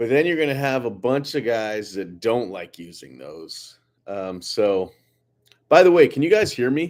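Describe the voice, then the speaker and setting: A man's medium-pitched voice at a fairly slow pace, with very wide pitch swings and big swings in loudness. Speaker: lawn care business owner. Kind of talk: live stream Q&A. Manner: casual, halting with fillers.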